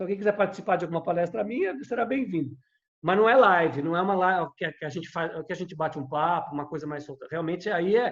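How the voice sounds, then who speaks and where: Very fast pace and ordinary pitch variation in a man's high voice. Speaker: conductor and music lecturer. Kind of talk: podcast conversation.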